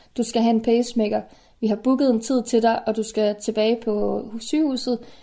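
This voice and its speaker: On a very clean recording with a silent background, a woman with a dark, mellow tone speaks at a moderate pace, her fairly high pitch held in a monotone, flat line. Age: 30s. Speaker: chronically ill early pensioner. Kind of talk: personal audio diary. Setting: self-recorded at home.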